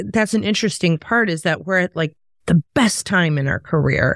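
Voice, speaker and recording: At a moderate pace, a woman of medium pitch speaks with ordinary pitch variation in a dry, close sound with no echo. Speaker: podcast host and sales speaker. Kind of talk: casual chat. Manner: animated.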